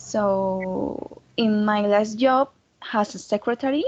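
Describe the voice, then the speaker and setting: A woman with a Colombian accent and medium pitch against a quiet background. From Colombia, Santander. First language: Spanish. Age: 20s. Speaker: foreign language student. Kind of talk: mock job interview. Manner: halting.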